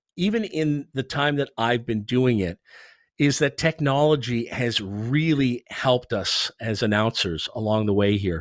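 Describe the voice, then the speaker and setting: In a very clean recording with a silent background and a dry, close sound with no echo, a man with an unremarkable speaking voice talks at a fairly slow pace, his medium pitch showing ordinary variation. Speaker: NHL arena public address announcer. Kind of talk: interview answer. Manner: conversational, fluent.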